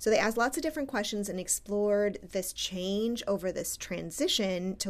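Using a normal speaking voice, a woman talks at a moderate pace and a medium pitch with ordinary pitch variation. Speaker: academic researcher and podcast co-host. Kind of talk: casual chat.

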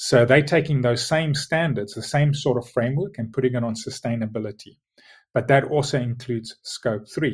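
Over a quiet background, a man with a South African accent speaks at a medium pitch, somewhat breathy. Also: ordinary pitch variation, moderate pace. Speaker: logistics tech executive.

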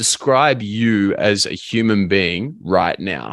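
A man speaks at a medium pitch with an Australian accent. The background is quiet. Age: 20s. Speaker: life and business coach. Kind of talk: casual chat.

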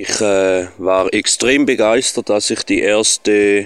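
Recorded very cleanly with a silent background and a dry, close sound with no echo, a man with a Swiss German accent speaks at a medium pitch and a very slow pace. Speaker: listener, reggae DJ. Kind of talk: voice message. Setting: recorded voice message. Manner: calm and slow.

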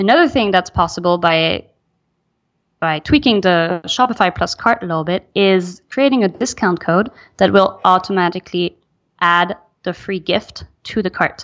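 A woman with a French accent speaks at a medium pitch against a quiet background. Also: ordinary pitch variation, moderate pace. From Belgium. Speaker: email marketing specialist. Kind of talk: interview.

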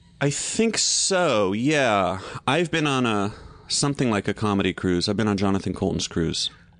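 An ordinary speaking voice with an American accent moves at a moderate pace with lively intonation and very even loudness. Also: man, fairly low pitch for a man. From US South. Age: 40s. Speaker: TV host and comedian. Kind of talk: casual chat.

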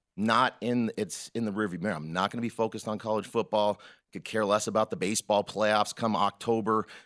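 A man with an unremarkable speaking voice and a fairly low pitch talks at a fairly quick pace, the sound dry and close with no echo over a quiet background. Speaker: sports bettor. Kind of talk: casual interview chat. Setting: studio.

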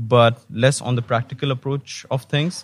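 A man's medium-pitched, monotone voice at a moderate pace, dry and close with no echo. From Pakistan. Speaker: research associate. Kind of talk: interview.

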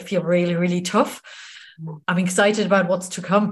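A woman talks at a medium pitch in an enthusiastic tone. Her voice is somewhat breathy. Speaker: podcast host. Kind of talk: podcast interview. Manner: extroverted, enthusiastic.

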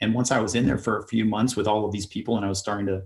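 A man's fairly low, somewhat breathy voice in monotone, flat intonation, on a very clean recording with a silent background. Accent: US Midwestern. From US Midwest, Ohio. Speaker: author and traveler. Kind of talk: podcast interview.

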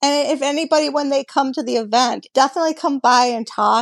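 A plain, everyday voice at a moderate pace, dry and close with no echo, over a quiet background. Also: woman. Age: 50s. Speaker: hot rod builder and restoration business owner. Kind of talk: interview.

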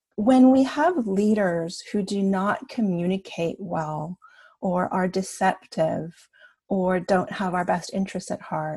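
A woman speaks very slowly in a medium-pitched, somewhat breathy voice with a dark, mellow tone. She has a Canadian accent and ordinary pitch variation. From Canada. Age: 50s. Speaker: coach. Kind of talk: podcast interview. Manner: animated.

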